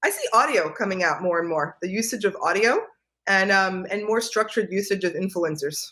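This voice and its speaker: Speaking with an American accent, a woman has a medium pitch, a bright, sharp tone, ordinary pitch variation and a fairly quick pace. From New York. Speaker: real estate analyst. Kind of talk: interview. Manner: fast.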